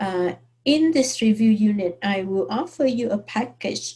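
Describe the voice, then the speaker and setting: A woman with a medium pitch speaks at a very slow pace in a somewhat breathy, dark, mellow tone with ordinary pitch variation. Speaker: math teacher. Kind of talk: online course introduction. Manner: hesitant, many fillers.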